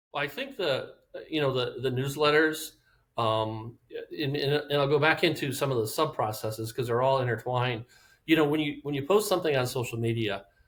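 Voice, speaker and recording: A somewhat breathy man talks at a fairly quick pace. His pitch varies in an ordinary way. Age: 60s. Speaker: real estate agent. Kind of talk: podcast interview answer. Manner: enthusiastic.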